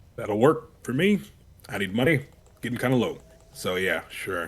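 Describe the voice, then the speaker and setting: A man puts on a gruff character voice at medium pitch. He talks at a moderate pace. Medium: actual play. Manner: gruff, blunt.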